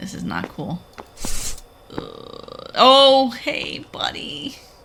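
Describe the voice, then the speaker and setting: A woman is speaking. Noticeable background noise and audible room echo fill the recording. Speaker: gaming video creator. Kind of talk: horror game let's play commentary. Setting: home recording with headphones. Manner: animated, exclamatory.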